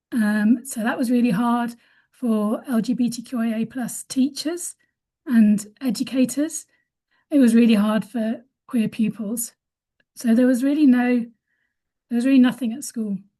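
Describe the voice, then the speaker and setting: With a British accent, a woman speaks at a moderate pace in a high pitch, her tone dark and mellow and her intonation fairly even, with long, frequent pauses against a quiet background. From UK. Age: 50s. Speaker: webinar panellist. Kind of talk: conversational webinar testimony. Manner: halting, many fillers and restarts.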